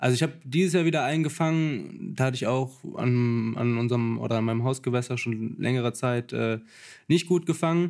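With a normal speaking voice, a man talks at medium pitch with ordinary variation on a very clean recording with a silent background. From Lower Rhine, Germany (St. Tönis near Krefeld). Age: 20s. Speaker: carp angler. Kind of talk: casual chat. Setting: tackle shop.

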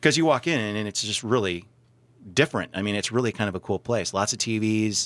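This man has a normal speaking voice, fairly low in pitch with ordinary pitch variation, at a fairly quick pace. The recording is very clean with a silent background. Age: 40s. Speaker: radio host and small business owner. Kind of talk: casual chat.

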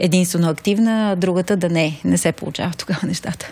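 A woman has an unremarkable speaking voice, fairly low in pitch with fairly even intonation. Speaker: city project coordinator. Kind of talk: interview.

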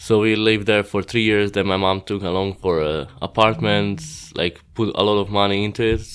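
In a Croatian accent, a man talks at a moderate pace with hardly any pauses, a fairly low pitch, and fairly even intonation. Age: 20s. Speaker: pro BMX rider. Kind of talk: casual interview chat. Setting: outdoors at a contest.

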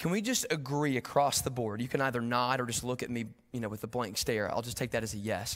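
Talking at a very fast pace with an East Tennessee accent, a man keeps a medium pitch with ordinary variation. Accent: US Southern, East Tennessee. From Tennessee, Knoxville. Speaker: guest preacher. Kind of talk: sermon.

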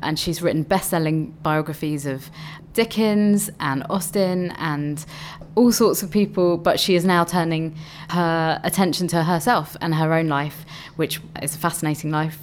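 Using a plain, everyday voice, a woman speaks at a moderate pace and a fairly low pitch with fairly even intonation. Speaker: festival co-director. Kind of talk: radio interview.

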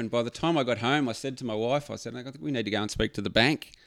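A man at medium pitch with an Australian accent and ordinary pitch variation, on a very clean recording with a silent background. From Victoria, Australia (Phillip Island). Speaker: surf accessories business owner. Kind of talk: casual chat. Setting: studio.

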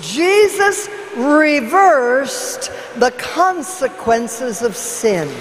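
A woman talks very slowly at a high pitch with very wide swings, amid audible room echo and noticeable background noise. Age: 70s. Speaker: evangelist. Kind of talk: sermon. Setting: church.

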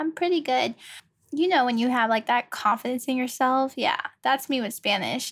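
A woman with an American accent speaks at a high pitch and a moderate pace. Her pitch varies in an ordinary way on a very clean recording with a silent background. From Virginia, US. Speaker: podcast host. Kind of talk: casual monologue. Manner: chatty, filler-heavy.

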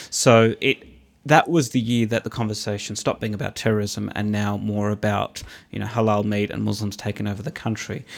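This man has an Australian accent and a fairly low pitch. He speaks at a fairly quick pace with fairly even intonation. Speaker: commentator and former youth worker. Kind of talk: casual interview chat. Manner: well-spoken.

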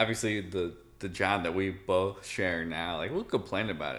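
Here is a man with a normal speaking voice. He talks at a moderate pace with a fairly low pitch. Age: 30s. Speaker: podcast co-host. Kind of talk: casual chat. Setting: indoors in his apartment.

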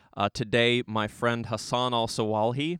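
With an ordinary speaking voice, a man talks at medium pitch and a fairly slow pace, his intonation fairly even. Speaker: podcast host. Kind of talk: casual interview chat.

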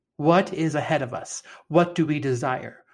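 On a very clean recording with a silent background, a man with a fairly high pitch and a somewhat breathy voice speaks at a fairly slow pace with ordinary pitch variation. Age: 40s. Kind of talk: gospel reflection; casual faith conversation.

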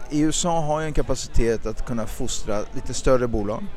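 With lively intonation, a man speaks in a normal speaking voice of medium pitch. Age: 40s. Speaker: stock exchange listing executive. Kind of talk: interview. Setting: outdoors.

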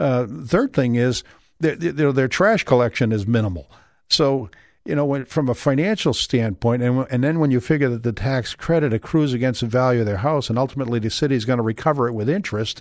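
On a very clean recording with a silent background, a man talks at a fairly quick pace in an animated tone, with medium pitch and ordinary pitch variation. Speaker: local political candidate. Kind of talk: radio interview. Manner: animated, opinionated.

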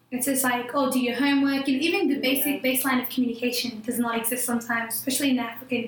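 A woman's high-pitched voice in monotone, flat intonation at a fairly quick pace, with audible room echo. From New Zealand. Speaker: podcast co-host. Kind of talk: casual chat.

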